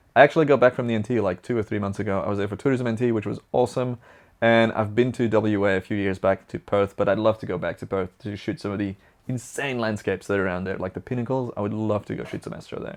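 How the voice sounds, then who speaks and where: Putting on a character voice, a man talks very fast in a raspy, fairly low pitch against a quiet background. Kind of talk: casual, chatty. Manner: talking fast.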